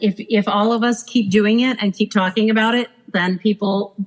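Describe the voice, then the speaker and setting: This woman talks at a moderate pace with a fairly high pitch. Her voice is somewhat breathy. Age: 50s. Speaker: former cruise director. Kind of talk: casual chat.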